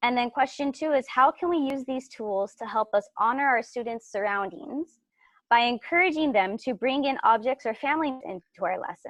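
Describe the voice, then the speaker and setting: Against a quiet background, a woman speaks at a high pitch with lively intonation, the sound dry and close with no echo. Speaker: teacher presenting a workshop. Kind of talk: workshop presentation. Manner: fast.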